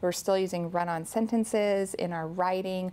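A woman's plain, everyday voice, fairly low in pitch with fairly even intonation, at a moderate pace in a very clean recording with a silent background. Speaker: author and educator. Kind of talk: interview about teaching grammar.

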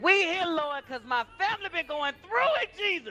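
A woman uses a put-on character voice with a sing-song lilt. Music plays clearly in the background. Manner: fervent, sing-song, calling Lord and Jesus at every line.

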